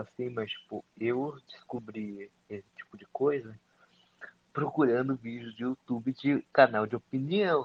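Using a plain, everyday voice, a man of medium pitch talks fairly slowly with fairly even intonation and big swings in loudness. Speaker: live stream participant. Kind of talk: casual chat. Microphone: voice too quiet.

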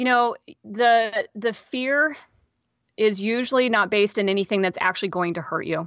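With a General American accent, a woman speaks in an unremarkable speaking voice at a moderate pace, her fairly high pitch showing ordinary variation. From Kansas, US. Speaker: podcast host. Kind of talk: interview.

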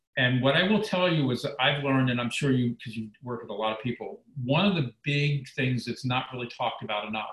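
A normal speaking voice moves at a moderate pace. The pitch varies in an ordinary way. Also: man. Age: 60s. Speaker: former reality show contestant, weight loss mentor. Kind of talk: casual chat.

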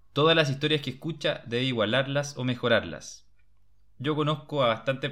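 In a plain, everyday voice, a man talks at a moderate pace and medium pitch with fairly even intonation. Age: 20s. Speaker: podcast host. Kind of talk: book discussion chat.

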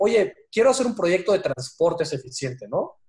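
A high-voiced man with a Mexican accent speaks with very wide pitch swings. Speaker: stock exchange executive. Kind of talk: interview. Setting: video call.

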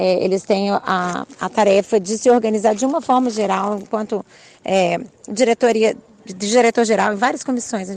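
Fairly slow delivery from a woman, her pitch in the middle range. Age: 40s. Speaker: physical education teacher. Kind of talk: interview. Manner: halting, many fillers.

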